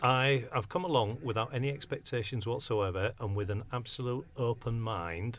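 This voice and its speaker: A somewhat breathy man's voice. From northern England, Hull. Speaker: community radio presenter. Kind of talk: casual chat. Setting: radio studio.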